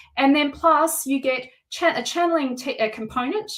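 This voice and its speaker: A loud woman's voice. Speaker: tarot reader. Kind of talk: live-streamed tarot reading and course pitch. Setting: live stream at home. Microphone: no microphone worn.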